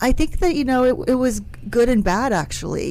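A woman talks at a fairly quick pace with ordinary pitch variation. Noticeable background noise and audible room echo fill the recording. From West Virginia, small town. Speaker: staffing and technology firm CEO. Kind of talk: radio interview.

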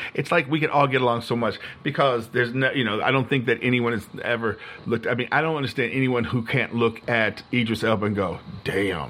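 This is an unremarkable speaking voice with ordinary pitch variation, a fairly quick pace and very even loudness. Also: man, medium pitch for a man. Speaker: podcast guest. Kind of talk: casual chat.

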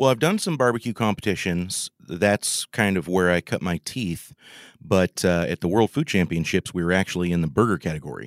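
With a West Coast accent, a man talks at a fairly quick pace in a very deep, low pitch with lively intonation, the sound dry and close with no echo on a very clean recording with a silent background. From Oregon. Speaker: home cook and podcast host. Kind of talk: casual interview.

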